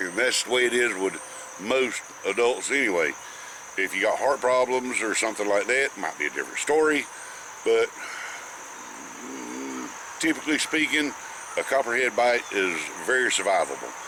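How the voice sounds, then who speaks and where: Speaking with a North Carolina accent at a moderate pace, the voice shows ordinary pitch variation and long, frequent pauses over noticeable background noise. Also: man, medium pitch for a man. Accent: Southern US (North Carolina). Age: 60s. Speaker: snake educator. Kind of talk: informal tutorial. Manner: halting, frequent fillers.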